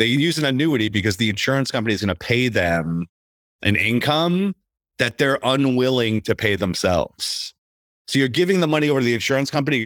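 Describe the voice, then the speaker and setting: A man at a fairly quick pace with lively intonation, in a dry, close recording with no echo, very clean against a silent background. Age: 40s. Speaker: podcast host. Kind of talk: casual chat. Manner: animated.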